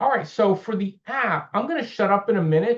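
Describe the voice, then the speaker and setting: A loud man with an American accent speaks with very wide pitch swings. The background is quiet. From upper northeastern US. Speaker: volunteer trainer. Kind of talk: training session.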